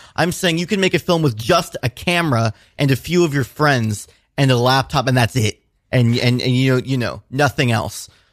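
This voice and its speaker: Recorded very cleanly with a silent background and a dry, close sound with no echo, a man with a normal speaking voice talks at a moderate pace, medium in pitch with ordinary pitch variation. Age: 20s. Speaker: filmmaker and musician. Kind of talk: casual interview. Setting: radio studio.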